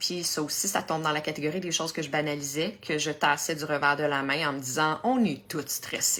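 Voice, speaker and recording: A woman in a Quebec accent. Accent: Québécois French. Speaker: health coach, cancer survivor. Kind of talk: Facebook live talk. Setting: live stream.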